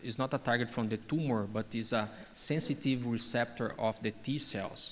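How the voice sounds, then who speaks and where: A man with an unremarkable speaking voice talks at medium pitch. His pace is moderate and his intonation fairly even. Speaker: oncologist. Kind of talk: conference Q&A.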